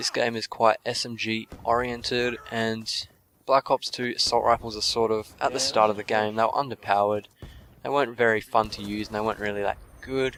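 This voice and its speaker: Monotone and flat, a man's voice sits at medium pitch. He talks at a fairly quick pace. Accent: Australian. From Australia. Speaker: gaming commentator. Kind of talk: gameplay commentary.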